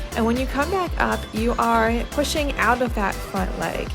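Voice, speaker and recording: A woman speaks at a moderate pace with an upbeat tone. Music plays in the background. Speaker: fitness instructor. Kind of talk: guided workout voice-over. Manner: encouraging, upbeat, instructional.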